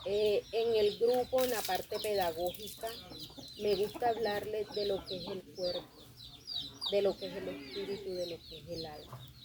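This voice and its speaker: At a fairly slow pace, a woman of medium pitch shows ordinary pitch variation and big swings in loudness, with noticeable background noise behind her. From Colombian Caribbean coast. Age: 30s. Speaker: theatre group director and manicurist. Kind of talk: interview.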